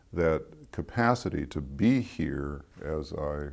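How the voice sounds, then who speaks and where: With lively intonation, a man speaks with vocal fry. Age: 70s. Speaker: founder and author speaking on inner life. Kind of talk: reflective interview talk. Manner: reflective, with frequent hesitations and repeats.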